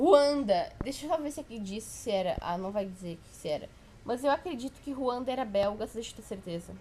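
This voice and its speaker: A woman's fairly high voice with very wide pitch swings and big swings in loudness. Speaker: history tutor. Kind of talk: informal exam review lecture. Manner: casual, halting with self-corrections.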